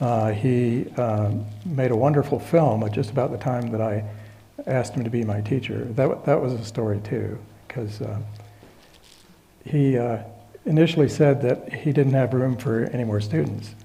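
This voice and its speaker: A soft-spoken man with a somewhat breathy, dark, mellow tone talks at a medium pitch and moderate pace, with ordinary pitch variation, long, frequent pauses and audible room echo. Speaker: retired physicist and Buddhism teacher. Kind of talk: lecture. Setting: stage with audience. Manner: halting, many fillers.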